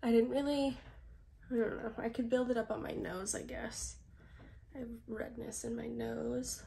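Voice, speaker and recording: The speech moves at a fairly slow pace. Audible room echo is present. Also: woman. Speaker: beauty vlogger. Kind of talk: makeup tutorial. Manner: casual, chatty.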